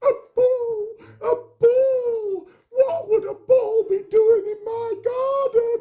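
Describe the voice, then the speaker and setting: This man puts on a character voice, pitched extremely high and delivered at a very slow pace. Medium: read story. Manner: panicky, fretful.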